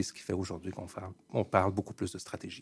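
Speaking at a fairly quick pace, a man with a Quebec accent comes through on a very clean recording with a silent background. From Montreal, Quebec. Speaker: management consultant. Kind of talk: radio interview.

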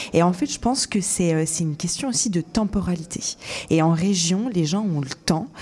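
At a moderate pace, a woman with an unremarkable speaking voice talks at fairly low pitch with ordinary pitch variation. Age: 20s. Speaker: radio show producer. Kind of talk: casual interview.

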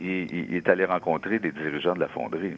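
Here a man speaks at a moderate pace. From Quebec, Abitibi-Témiscamingue. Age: 60s. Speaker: author. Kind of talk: radio interview.

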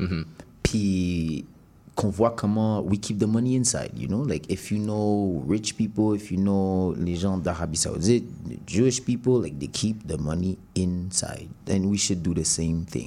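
A man's very deep, low voice has a dark, mellow tone and ordinary pitch variation. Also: fairly slow pace. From Montreal, Quebec. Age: 20s. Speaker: rapper. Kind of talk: interview.

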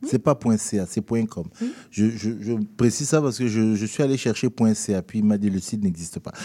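A man's fairly low-pitched voice with a dark, mellow tone, ordinary pitch variation and a moderate pace. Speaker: radio host. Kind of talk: casual chat. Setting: studio. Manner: animated.

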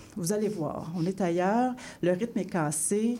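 A woman's tone is dark and mellow. There is a somewhat breathy quality to her speech. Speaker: radio literary columnist. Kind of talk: reading aloud. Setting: radio studio.

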